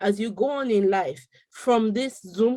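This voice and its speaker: A woman's fairly high, dark and mellow voice with lively intonation. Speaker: panelist on parenting webinar. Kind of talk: webinar discussion. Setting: video call. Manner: loud.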